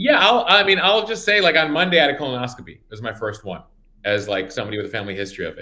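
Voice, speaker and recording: Speaking very fast with vocal fry, this bright, sharp voice makes very wide pitch swings and big swings in loudness. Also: man, fairly high pitch for a man. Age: 40s. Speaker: news founder and influencer. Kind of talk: panel discussion. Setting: video call.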